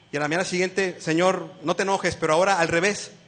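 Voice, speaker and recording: There is noticeable background noise. A man speaks at a high pitch. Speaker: lay preacher. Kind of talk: sermon. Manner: fast; animated.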